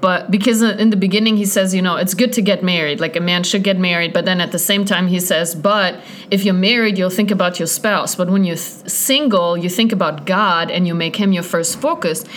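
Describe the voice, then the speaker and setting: With noticeable background noise and audible room echo, a woman of medium pitch talks at a fairly quick pace with hardly any pauses, fairly even intonation and very even loudness. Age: 30s. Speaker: evangelist. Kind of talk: casual chat.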